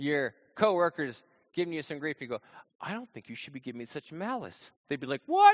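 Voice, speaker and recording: Loud and at a fairly quick pace, a man speaks with lively intonation. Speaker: pastor. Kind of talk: sermon. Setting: church with congregation.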